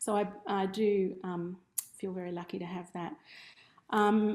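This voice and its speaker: Speaking at a moderate pace, a woman with an Australian accent keeps a medium pitch and a fairly even intonation. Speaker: ceramic artist teaching a workshop. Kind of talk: online workshop presentation. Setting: studio room, streamed over video call.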